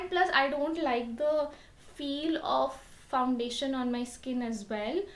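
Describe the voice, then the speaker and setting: A soft-spoken woman with a high pitch talks at a moderate pace with ordinary pitch variation. Room echo is audible. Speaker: beauty vlogger. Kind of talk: tutorial.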